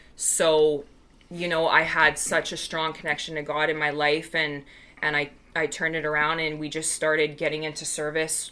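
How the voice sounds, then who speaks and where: A woman with an American accent speaks in a very deep, low pitch, with a bright, sharp tone and flat, monotone intonation. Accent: Canadian, may drift American. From Vancouver, Canada. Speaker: recovering alcoholic, AA member. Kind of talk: personal testimony in casual chat.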